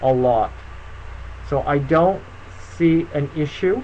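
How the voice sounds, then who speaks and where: Light background noise sits under a man's speech. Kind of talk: live stream Q&A tutorial. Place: home room. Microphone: webcam.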